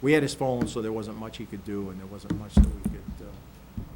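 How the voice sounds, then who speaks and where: A man speaks over noticeable background noise, with audible room echo. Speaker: county sheriff presenting budget. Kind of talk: budget presentation at public meeting. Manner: fast.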